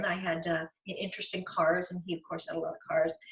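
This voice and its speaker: A woman talks at a fairly quick pace while noticeable background noise fills the space around her. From rural Virginia, US. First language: German. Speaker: author and naturalist. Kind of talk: interview.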